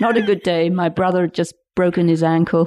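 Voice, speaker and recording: With a dark, mellow tone, a woman speaks at a fairly low pitch in a dry, close sound with no echo. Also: quiet background. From Lincolnshire, England. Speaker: retired researcher and mountaineer. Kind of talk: interview, casual storytelling.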